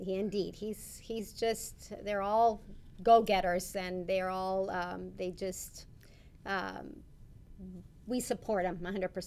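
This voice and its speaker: A woman with an American accent, medium in pitch, at a very slow pace with long, frequent pauses and fairly even intonation. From US South, Rio Grande City, Texas. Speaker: bishop's wife. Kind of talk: interview.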